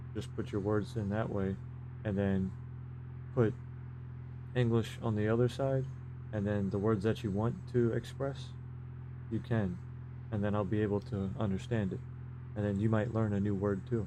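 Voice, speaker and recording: In a room with audible room echo, a man with a fairly low pitch and a dark, mellow, relaxed tone talks at a moderate pace, with fairly even intonation and long, frequent pauses. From US, Maryland. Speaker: gaming live streamer. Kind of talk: live gameplay commentary chatting with viewers. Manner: casual, relaxed.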